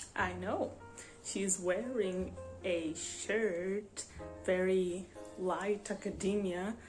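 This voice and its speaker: Over music in the background, the speaker goes at a very slow pace with fairly even intonation and long, frequent pauses. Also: woman, medium pitch for a woman. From Portugal. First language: Portuguese. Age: 20s. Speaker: book vlogger. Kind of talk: casual talk to camera.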